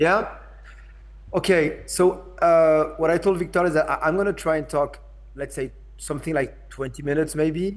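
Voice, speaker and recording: Here a man talks with a French accent. His pace is moderate. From France. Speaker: arts institution director. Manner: hesitant, many fillers.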